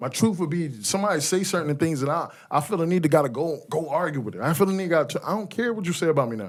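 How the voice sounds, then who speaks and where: A man talks loud and very fast at a high pitch with lively intonation. The recording is very clean with a silent background. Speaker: podcast co-host. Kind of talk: casual group chat. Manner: animated.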